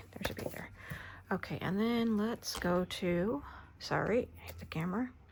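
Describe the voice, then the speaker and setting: Soft-spoken and medium in pitch, a woman speaks at a moderate pace with ordinary pitch variation. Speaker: crafter. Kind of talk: tutorial.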